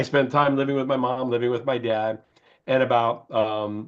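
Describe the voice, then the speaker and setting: This speaker has a normal speaking voice and an American accent. The pace is fairly quick and the intonation fairly even. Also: man. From US Midwest, Chicago. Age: 60s. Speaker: beauty company founder. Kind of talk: interview.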